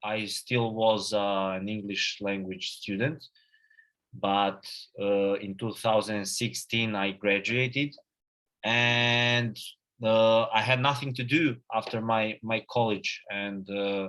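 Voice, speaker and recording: A man with a Serbian accent speaks at a very slow pace and medium pitch, with fairly even intonation, in a very clean recording with a silent background. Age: 20s. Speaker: agency founder and CEO. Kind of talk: conference talk. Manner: halting, many fillers and repetitions.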